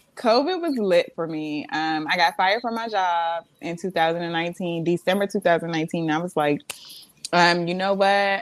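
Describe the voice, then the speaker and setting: A woman speaks at a fairly low pitch with ordinary pitch variation. Her pace is fairly slow. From Maryland, Montgomery County. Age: 30s. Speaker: aesthetician and makeup artist. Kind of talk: casual chat.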